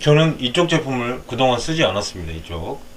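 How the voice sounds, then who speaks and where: There is noticeable background noise. A man talks at a fairly slow pace with very wide pitch swings. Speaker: interior film installer. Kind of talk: tutorial. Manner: hesitant, many filler sounds.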